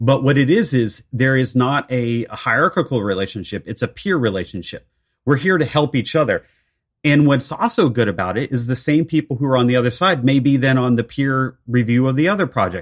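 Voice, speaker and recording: A normal speaking voice comes through on a very clean recording with a silent background. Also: man. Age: 40s. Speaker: architect and technology leader. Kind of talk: interview conversation.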